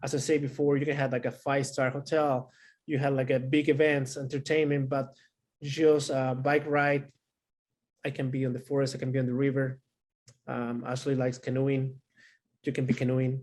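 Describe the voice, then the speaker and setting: At a fairly quick pace but with long, frequent pauses, a man with a Chilean accent speaks at a medium pitch in a monotone, flat intonation. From Santiago, Chile. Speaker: panelist. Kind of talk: panel discussion.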